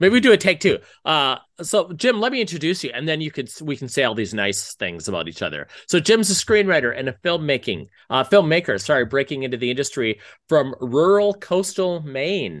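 Against a quiet background, a man with vocal fry speaks fairly quickly in a fairly high voice that swings very widely in pitch. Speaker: screenwriter and screenwriting professor, podcast host. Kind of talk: casual chat. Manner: animated.

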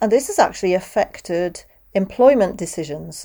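A woman speaks with a British accent, lively intonation and a dark, mellow tone. The recording is very clean, with a silent background. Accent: British, near RP. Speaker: podcast host and interpreter coach. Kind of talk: solo podcast monologue.

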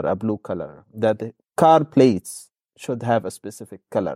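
Dry and close with no echo, a man's medium-pitched voice carries a dark, mellow tone and an Arabic accent. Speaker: podcast host, academic. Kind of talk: discussion. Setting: video call. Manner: hesitant, many fillers.

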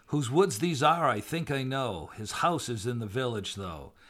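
Medium pitch, lively intonation and a moderate pace from a man with a normal speaking voice. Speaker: podcast co-host. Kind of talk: casual banter with poem reading. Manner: playful, laughing, bantering.

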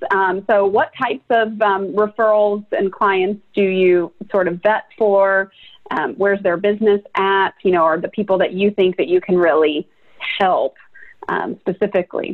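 In a plain, everyday voice, a woman speaks at a medium pitch with ordinary pitch variation and very even loudness. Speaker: podcast host. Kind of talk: casual interview.

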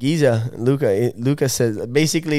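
Ordinary variation runs through the pitch. Underneath, the tone stays dark and mellow. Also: man. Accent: Italian. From Italy, Lake Como. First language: Italian. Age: 20s. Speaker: professional wakeboarder. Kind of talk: casual chat.

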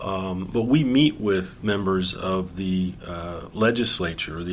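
With audible room echo around him, a man speaks at a very deep, low pitch with ordinary pitch variation. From western US. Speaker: professor. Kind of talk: interview. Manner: halting, many fillers.

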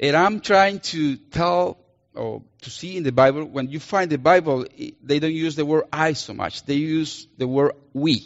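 A man with a Colombian accent speaks at a fairly slow pace, his pitch varying in an ordinary way while his loudness swings widely. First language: Spanish. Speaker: missionary preacher. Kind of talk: sermon. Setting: church.

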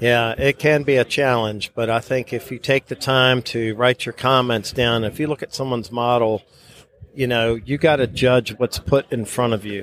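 A man's normal speaking voice at medium pitch, moderate pace and fairly even intonation, with a dry, close sound and no echo. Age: 50s. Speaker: model show organizer and judge. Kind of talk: interview.

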